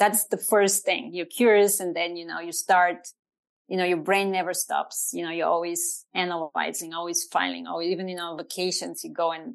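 A woman speaks with a Bulgarian accent at a medium pitch. The background is quiet. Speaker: trend researcher and strategist. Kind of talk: interview conversation.

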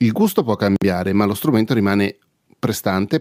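A man's fairly low voice at a fairly quick pace, with a dry, close sound and no echo. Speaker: podcaster reviewing microphones. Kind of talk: casual monologue.

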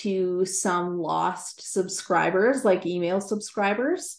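A woman with a Canadian accent, ordinary pitch variation and a very slow pace. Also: quiet background. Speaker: writer and Bible teacher. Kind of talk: interview.

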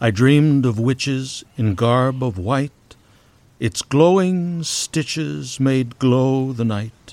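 A man's medium-pitched voice moves at a very slow pace. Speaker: poet and podcast host. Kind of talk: poetry reading, performed verse with playful rhyme. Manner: lilting, sing-song rhythm, whimsical; animated, playful with onomatopoeic sounds.

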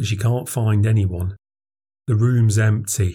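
A man speaks at a fairly slow pace, somewhat breathy, with fairly even intonation. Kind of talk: ghost story telling, first-person account read aloud. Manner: tense, halting, urgent, with clipped short sentences that build dread.

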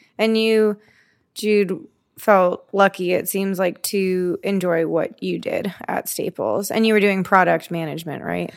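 In a very clean recording with a silent background, a normal speaking voice moves at a fairly slow pace with fairly even intonation. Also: woman, medium pitch for a woman. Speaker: podcast co-host. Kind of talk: casual chat.

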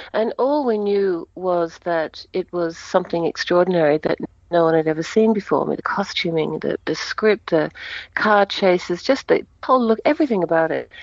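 In an ordinary speaking voice, a woman talks at a medium pitch and moderate pace with lively intonation, the sound dry and close with no echo. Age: 60s. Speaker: actress. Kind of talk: interview. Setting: phone call.

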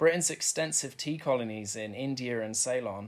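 What we hear is a natural reading voice.

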